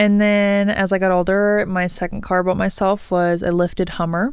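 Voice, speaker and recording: Soft-spoken and monotone, a woman talks at a moderate pace and medium pitch with flat intonation, on a very clean recording with a silent background. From southwest Missouri. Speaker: personal trainer and athlete. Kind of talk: casual interview chat.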